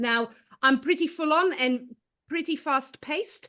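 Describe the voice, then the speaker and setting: Lively intonation and a bright, sharp tone mark this woman's voice. She speaks at a moderate pace. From Belgium. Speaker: speaker, presenter.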